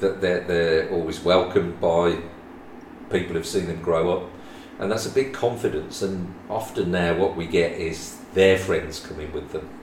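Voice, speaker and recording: A man with a West Midlands accent, very deep and low in pitch, fairly even in intonation, at a moderate pace over noticeable background noise. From West Midlands, England. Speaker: property owner guest. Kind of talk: casual interview chat.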